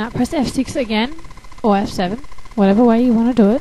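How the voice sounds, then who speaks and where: Noticeable background noise sits behind the recording. The woman's voice has a fairly high pitch. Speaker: animation tutorial maker. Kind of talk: casual software tutorial narration. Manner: casual, hesitant, with fillers.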